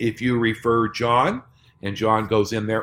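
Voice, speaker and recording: A normal speaking voice at a fairly slow pace. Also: man. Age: 60s. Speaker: network marketing presenter. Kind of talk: sales pitch.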